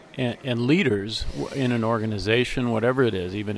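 A man talks at a medium pitch while noticeable noise sounds in the background. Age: 50s. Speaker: interviewer. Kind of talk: interview conversation. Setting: conference interview.

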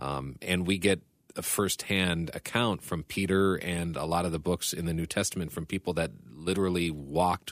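With vocal fry and fairly even intonation, a man speaks at a very deep, low pitch on a very clean recording with a silent background. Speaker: radio program director. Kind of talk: Bible reading and discussion.

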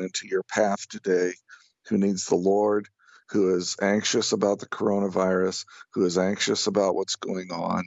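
At a fairly slow pace, a man with a normal speaking voice talks in a fairly low pitch with fairly even intonation. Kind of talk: interview. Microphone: connection breaking up.

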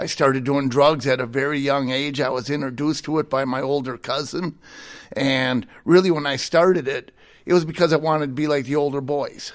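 A man with an unremarkable speaking voice talks fairly quickly at a fairly high pitch, with fairly even intonation and a quiet background. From Minnesota, US Midwest. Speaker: ministry director, former prisoner. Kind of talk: testimony.

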